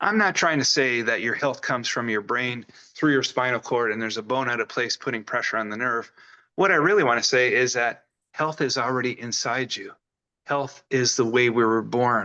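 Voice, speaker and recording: An American accent from a man at medium pitch, bright and sharp in tone, fairly quick, against a quiet background. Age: 60s. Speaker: chiropractor. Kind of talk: talk to peers.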